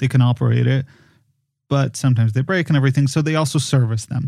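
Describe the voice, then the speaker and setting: A somewhat breathy man's voice, medium in pitch, dark and mellow in tone, with fairly even intonation. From Poland. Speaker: podcast designer and film producer. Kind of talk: casual conversation. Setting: remote recording via software.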